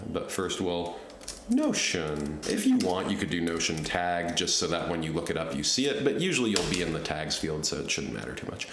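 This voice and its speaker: Noticeable background noise and audible room echo fill the recording. A man speaks with very deep, low pitch, lively intonation and a fairly quick pace. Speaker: software tutorial creator. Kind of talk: screen-recorded tutorial. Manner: casual, thinking aloud. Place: home room.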